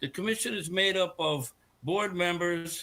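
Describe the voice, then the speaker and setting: On a very clean recording with a silent background, a man with an American accent speaks in a high, bright, sharp voice with ordinary pitch variation. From Connecticut. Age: 70s. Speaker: public commenter. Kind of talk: public comment at a meeting. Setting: board meeting. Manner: halting.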